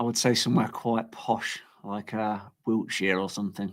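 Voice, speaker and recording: With a strong Leicester accent, a man talks in a monotone, flat intonation. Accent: Leicester English, strong local. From England, Leicester. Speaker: coin artist. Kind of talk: casual chat. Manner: halting, many false starts.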